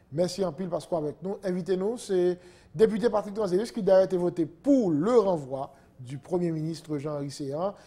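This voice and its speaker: A man's high-pitched, dark and mellow voice with ordinary pitch variation at a moderate pace. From Haiti. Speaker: TV news host. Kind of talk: interview. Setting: studio. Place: studio. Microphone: lapel.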